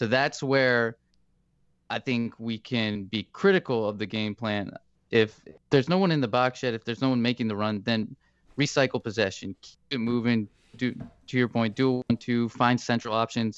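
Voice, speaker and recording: A man speaks in an ordinary speaking voice at a moderate pace with ordinary pitch variation. The sound is dry and close, with no echo. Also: medium pitch for a man, quiet background. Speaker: co-host sports analyst. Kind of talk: casual sports podcast discussion. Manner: relaxed, laughs often.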